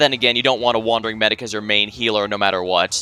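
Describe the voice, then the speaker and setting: Against background music, a man keeps his intonation fairly even. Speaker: streamer. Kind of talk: casual gameplay commentary.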